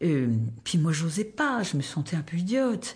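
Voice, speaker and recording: Using very wide pitch swings and vocal fry, a woman talks at a fairly slow pace. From southwestern France, rural Tarn. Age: 70s. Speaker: retired volunteer, soup kitchen coordinator. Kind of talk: personal life story interview.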